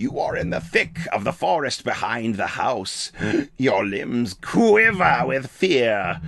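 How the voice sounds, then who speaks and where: A man speaks at a medium pitch in a put-on character voice. His pace is fairly slow. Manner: creepy, ominous.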